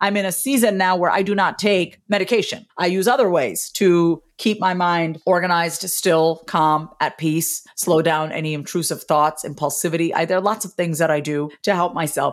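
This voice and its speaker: Speaking in a New York accent at a moderate pace, the voice shows ordinary pitch variation and hardly any pauses. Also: woman, fairly low pitch for a woman. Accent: New York American. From US, Long Island, New York. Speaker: author and speaking coach. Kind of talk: interview.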